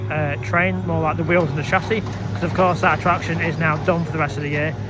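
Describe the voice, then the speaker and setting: Fairly quick and fairly high-pitched, a man with a Lancashire accent speaks amid noticeable background noise and audible room echo. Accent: northern English (Lancashire). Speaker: theme park vlogger. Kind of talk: walking vlog commentary. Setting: outdoors at a theme park. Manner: halting, stumbling over words.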